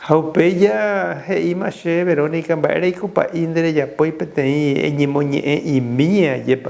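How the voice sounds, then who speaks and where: With lively intonation and fairly high pitch, a man speaks in a plain, everyday voice. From Paraguay (Caazapá, Villarrica). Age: 60s. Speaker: Jesuit priest. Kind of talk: interview testimony.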